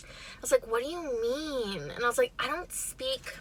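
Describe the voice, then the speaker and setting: A woman with an American accent speaks in a raised, projected voice at a fairly slow pace, her high pitch carrying lively intonation over noticeable background noise. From Chicago, northwest side. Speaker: mukbang vlogger. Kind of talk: casual storytime while eating.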